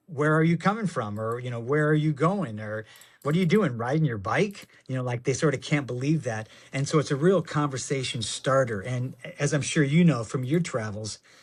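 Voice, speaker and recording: The voice, somewhat breathy and with an American accent, carries lively intonation on a very clean recording with a silent background. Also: man, fairly high pitch for a man. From Michigan. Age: 60s. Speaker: actor and avid cyclist. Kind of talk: casual interview chat. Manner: halting, repeats words.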